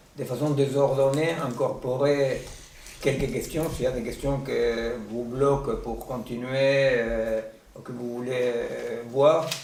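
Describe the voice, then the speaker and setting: Speaking very slowly with a non-native accent, a man with a medium pitch keeps a monotone, flat intonation over noticeable background noise and audible room echo. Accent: foreign accent in French. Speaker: seminar speaker, philosopher. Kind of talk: lecture. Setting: seminar room with audience and Zoom. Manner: halting, many hesitations.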